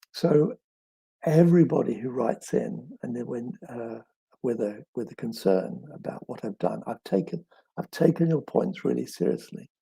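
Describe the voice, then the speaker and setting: The speaker moves at a moderate pace with vocal fry, very wide pitch swings and big swings in loudness, the sound dry and close with no echo. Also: man, medium pitch for a man. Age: 70s. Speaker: children's author. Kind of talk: live Q&A session. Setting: live stream. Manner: halting, many fillers and repeats.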